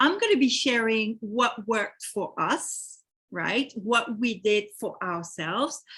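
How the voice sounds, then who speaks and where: Speaking at a fairly slow pace, a woman with a French accent uses lively intonation. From France. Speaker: real estate investment company host. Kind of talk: webinar presentation.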